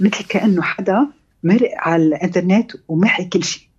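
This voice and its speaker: Her voice somewhat breathy, a woman speaks at a moderate pace. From Lebanon, Beirut. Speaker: novelist and architect. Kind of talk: radio interview.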